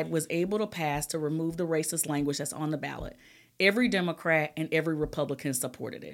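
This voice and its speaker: A woman with an Alabama accent speaks at a very fast pace and a fairly low pitch. The recording is very clean, with a silent background. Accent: Southern US (Alabama). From US South, Alabama. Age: 40s. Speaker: state legislator. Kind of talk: casual interview.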